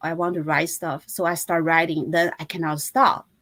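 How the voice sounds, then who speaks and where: A woman speaks in a Chinese accent at a fairly low pitch. Her pace is moderate. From China. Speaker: fashion designer and author. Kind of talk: interview. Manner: halting.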